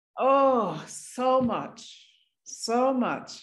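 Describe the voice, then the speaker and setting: A woman speaks with an American accent. There is audible room echo. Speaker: singer. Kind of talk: interview. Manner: animated.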